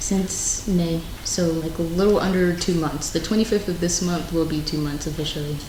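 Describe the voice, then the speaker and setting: Fairly even intonation in an American accent, at a moderate pace, with audible room echo and noticeable background noise. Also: woman, fairly low pitch for a woman, hardly any pauses. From US South, Alabama. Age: 20s. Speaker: podcast guest, tiktoker. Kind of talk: casual chat. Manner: loud.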